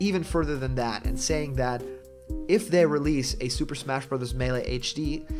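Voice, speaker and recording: Over background music, a man speaks at a moderate pace with a fairly high pitch and an enthusiastic tone. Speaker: gaming commentary YouTuber. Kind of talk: casual talk to camera. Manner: conversational, enthusiastic.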